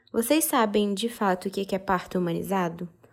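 Very clean recording, silent background, and a woman speaking at a fairly slow pace. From Brazil. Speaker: podcast host, mother. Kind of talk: informative podcast monologue.

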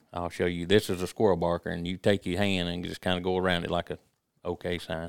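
On a very clean recording with a silent background, a man with a Mississippi accent speaks in a very deep, low voice. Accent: US South, Mississippi. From Mississippi, Jasper County. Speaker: hunting call maker. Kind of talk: casual chat.

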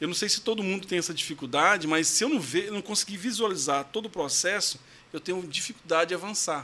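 A man in a Goiás accent talks at a very fast pace with a high pitch, a bright, sharp tone and ordinary pitch variation. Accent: Goiás accent, strong retroflex r. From Goiás, Brazil (São Luís de Montes Belos). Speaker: lawyer. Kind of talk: testimonial interview.

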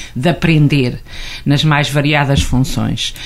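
A woman speaks with ordinary pitch variation. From central Portugal. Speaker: Portuguese teacher. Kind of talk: radio interview. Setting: studio.

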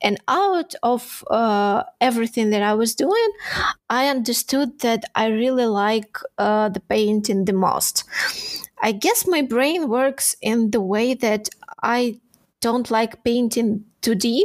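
Her pitch is fairly high, with ordinary pitch variation and very even loudness. The woman talks at a very slow pace with a Ukrainian accent. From Ukraine (Odesa). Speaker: 3D texture artist. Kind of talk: interview. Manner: halting.

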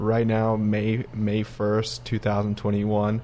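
Speaking at a fairly slow pace, a man uses a normal speaking voice pitched fairly low. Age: 20s. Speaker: podcast co-host, architectural designer. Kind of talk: casual chat.

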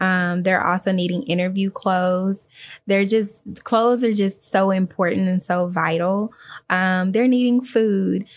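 In an American accent, a woman talks fairly slowly at a medium pitch with very even loudness, in an unremarkable speaking voice. The recording is very clean, with a silent background. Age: 30s. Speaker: foster care advocate and nonprofit founder. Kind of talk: interview conversation.

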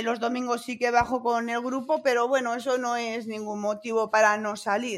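With a bright, sharp tone and a fairly high pitch, a woman speaks in a monotone, flat intonation. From Spain, La Rioja. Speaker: amateur runner. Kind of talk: interview.

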